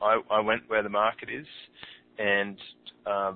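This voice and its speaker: Speaking in an Australian accent, a man with a fairly low pitch keeps a moderate pace and a monotone, flat intonation. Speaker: podcast host and online entrepreneur. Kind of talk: interview. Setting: phone call.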